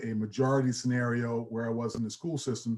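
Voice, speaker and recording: Speaking at a moderate pace, a man with a New York accent has a dark, mellow tone. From New York (Queens, Long Island). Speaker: athletic director, former college football player. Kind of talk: panel discussion. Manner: halting, many fillers.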